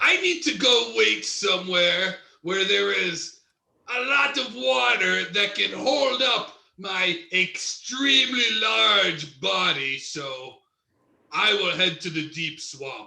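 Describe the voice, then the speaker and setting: A man speaks in a put-on character voice with a high pitch. His pace is very slow. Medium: stage play. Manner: enthusiastic, playful.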